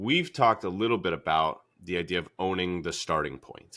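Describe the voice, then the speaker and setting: A man speaks at a very deep, low pitch with a bright, sharp tone, ordinary pitch variation and a moderate pace. The recording is very clean with a silent background. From New Hampshire, US (Derry/Londonderry), some years in the South. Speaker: fitness coach and podcast host. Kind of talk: casual podcast chat.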